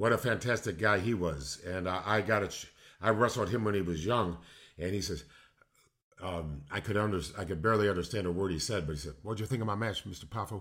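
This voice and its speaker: Speaking at a very fast pace, a man with an American accent keeps a fairly low pitch and ordinary pitch variation. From Illinois, Chicago area. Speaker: retired pro wrestler and poet. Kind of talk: casual interview chat.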